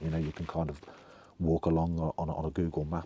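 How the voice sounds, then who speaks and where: A dark, mellow tone at a fairly quick pace, in a Birmingham accent. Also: man. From England (Birmingham). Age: 60s. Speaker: vlogger telling life story. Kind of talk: personal storytelling monologue. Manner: halting, many fillers and restarts.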